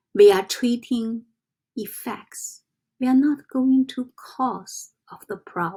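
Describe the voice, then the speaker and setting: A woman talks in a somewhat breathy voice with a Chinese accent. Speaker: self-development vlogger. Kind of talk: casual teaching monologue. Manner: halting, with fillers and self-corrections.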